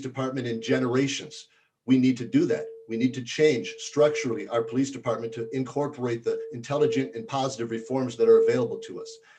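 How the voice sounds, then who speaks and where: At a very fast pace, a man talks with a medium pitch, ordinary pitch variation, and a dark, mellow, somewhat breathy tone. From south Minneapolis. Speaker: city council candidate. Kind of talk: candidate forum answers.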